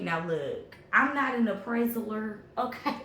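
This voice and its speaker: With lively intonation and a fairly high pitch, a woman speaks at a fairly slow pace in audible room echo. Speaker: tarot reader. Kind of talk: tarot reading. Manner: animated.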